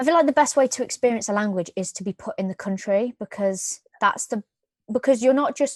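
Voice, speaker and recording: Speaking with a British accent at a fairly quick pace, a woman uses a high pitch and ordinary pitch variation, with a dry, close sound with no echo and a quiet background. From UK. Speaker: podcast co-host. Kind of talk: casual chat.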